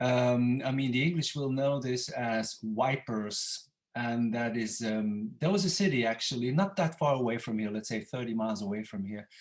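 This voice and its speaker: Hardly pausing, a man speaks with a Dutch accent. His pitch is medium, with ordinary pitch variation. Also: moderate pace. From Belgium (Flanders, Ypres). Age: 60s. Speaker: calligrapher, former Latin and Greek teacher. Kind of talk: interview.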